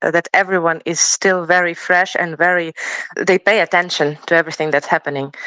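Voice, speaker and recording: A woman speaks with a Ukrainian accent and fairly even intonation. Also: dry, close sound with no echo, quiet background. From Ukraine. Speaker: professional choir singer. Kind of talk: interview. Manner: halting.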